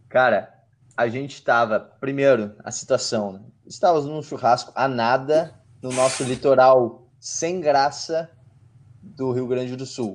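This man has an unremarkable speaking voice at a medium pitch, moving at a fairly slow pace with fairly even intonation and big swings in loudness. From southern Brazil, Porto Alegre. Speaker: podcast co-host. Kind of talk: casual chat.

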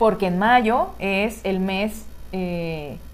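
A woman is speaking. There is audible room echo around her voice. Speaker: podcast co-host. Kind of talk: casual chat.

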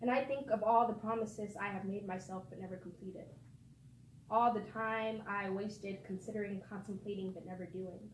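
Fairly quick, fairly even speech with big swings in loudness and audible room echo. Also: woman. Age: 20s. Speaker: spoken word poet. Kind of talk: poetry reading.

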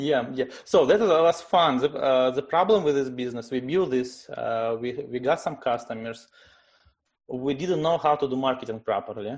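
A man with a Russian accent speaks at a moderate pace in a medium pitch, with ordinary pitch variation. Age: 30s. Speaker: tech startup CEO. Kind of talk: interview. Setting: video call.

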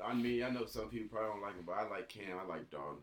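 Over noticeable background noise, a man speaks with a fairly low pitch. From Chicago, Illinois. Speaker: college football player and rapper. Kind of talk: casual chat.

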